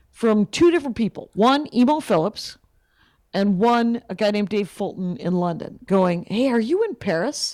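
A woman with an American accent and a normal speaking voice talks at a moderate pace. Her pitch is fairly high, her intonation lively, and the recording very clean with a silent background. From US Midwest, Wisconsin. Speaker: stand-up comedian. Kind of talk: casual interview chat.

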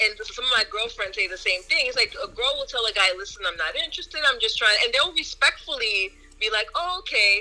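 Music sounds in the background. Over it, a woman talks fairly quickly. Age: 30s. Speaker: guest panelist. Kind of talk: casual chat.

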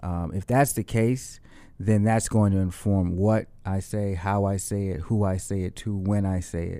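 The tone is dark and mellow, with an American accent. Delivery stays at a moderate pace with fairly even intonation. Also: man, fairly low pitch for a man. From Boston, Dorchester. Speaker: rapper and musician. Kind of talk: interview.

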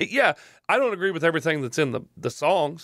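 Talking at a fairly quick pace, a man with a Southern US accent is heard in a very clean recording with a silent background and a dry, close sound with no echo. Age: 30s. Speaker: podcast host. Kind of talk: casual chat.

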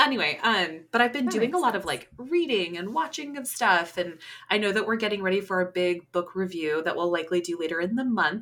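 An ordinary speaking voice moves at a fairly quick pace with hardly any pauses. The intonation is lively. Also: woman, medium pitch for a woman. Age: 30s. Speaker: podcast co-host. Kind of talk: casual chat.

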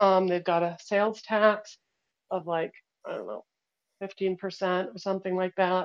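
A woman's monotone, flat delivery with big swings in loudness and long, frequent pauses, dry and close with no echo. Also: medium pitch for a woman, moderate pace. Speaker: audience participant asking questions. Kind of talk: casual Q&A. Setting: online call, speaking from Guatemala.

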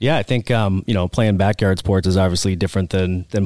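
This man has an American accent and a very deep, low pitch. His pace is fairly quick. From central Massachusetts (Oxford, near Worcester). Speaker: fitness adventurer, CrossFit athlete. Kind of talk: casual interview chat.

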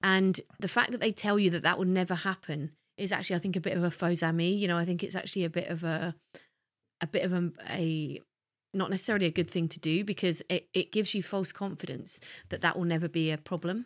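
A woman in a southern English accent, fairly low-pitched, at a very fast pace with fairly even intonation, on a very clean recording with a silent background. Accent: refined southern English. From southern England, Hertfordshire. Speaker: podcast co-host. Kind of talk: casual chat.

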